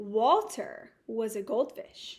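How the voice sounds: A woman's fairly high voice at a very slow pace, full of big pitch swings.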